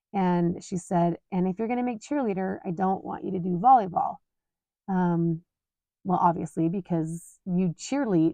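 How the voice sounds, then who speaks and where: Against a quiet background, a woman talks at a moderate pace with a medium pitch. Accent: American. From Utah. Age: 40s. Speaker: podcast host. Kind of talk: personal storytelling monologue. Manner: casual, conversational with fillers.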